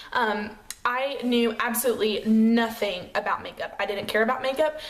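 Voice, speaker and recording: At a moderate pace, a woman talks with an American accent and fairly even intonation. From US South, Chattanooga, Tennessee. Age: 20s. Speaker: beauty vlogger, makeup artist. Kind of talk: casual vlog chat. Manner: casual, lots of fillers.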